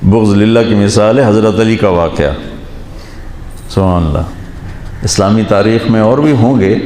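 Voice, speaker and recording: Over noticeable background noise, a man speaks in a fairly low voice with ordinary pitch variation and very even loudness. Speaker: Islamic scholar. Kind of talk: religious sermon.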